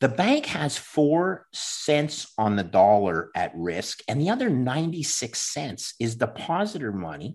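Against a quiet background, a man with a Canadian accent speaks at a fairly slow pace with vocal fry and very wide pitch swings. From Canada. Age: 50s. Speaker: former bond trader and Bitcoin investor. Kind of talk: interview.

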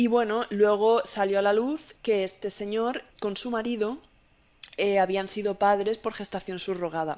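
Speaking with a Spanish accent, a woman of medium pitch goes at a fairly slow pace with fairly even intonation. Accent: Spanish (Spain). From Spain. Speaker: IT consultant. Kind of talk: casual interview.

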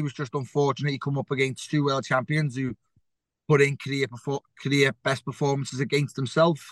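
Recorded dry and close with no echo, a man speaks at a fairly quick pace with a fairly high pitch. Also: quiet background. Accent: Liverpool. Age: 30s. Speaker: professional boxer. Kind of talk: interview.

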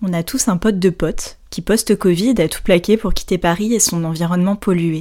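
In a plain, everyday voice, a woman of medium pitch speaks at a moderate pace with fairly even intonation on a very clean recording with a silent background. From Brittany, France. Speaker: podcast host, yoga teacher. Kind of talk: scripted narration; casual chat.

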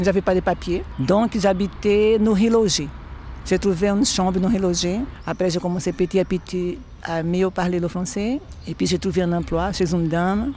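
Her pitch medium, a woman speaks at a fairly slow pace with fairly even intonation. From northeastern Brazil. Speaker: cleaner. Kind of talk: testimony. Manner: warm and cheerful.

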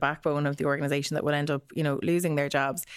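A woman's very deep, low voice in an Irish accent at a very fast pace, on a very clean recording with a silent background. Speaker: news correspondent. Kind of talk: casual news discussion.

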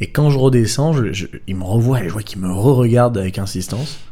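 A man talks at a fairly quick pace and a medium pitch, with ordinary pitch variation. Room echo is audible. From southern France, Draguignan. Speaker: film director. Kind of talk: casual chat.

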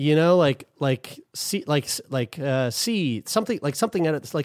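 A man with an unremarkable speaking voice talks at a moderate pace, his fairly high pitch carried by lively intonation. The recording is very clean with a silent background, dry and close with no echo. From Newfoundland, Canada. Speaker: podcast co-host. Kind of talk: casual chat.

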